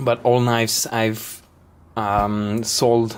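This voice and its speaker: Over noticeable background noise, a man with a non-native accent speaks at a medium pitch with fairly even intonation. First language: not English. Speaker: knife maker. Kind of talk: product explanation video. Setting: workshop. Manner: halting.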